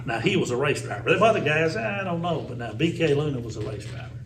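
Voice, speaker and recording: With a Tennessee accent, a man talks at a very fast pace and ordinary pitch variation. The recording has audible room echo and noticeable background noise. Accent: Southern US (Tennessee). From US South, Tennessee (Sparta). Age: 60s. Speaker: former radio DJ and race track announcer. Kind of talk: casual interview storytelling. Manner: animated.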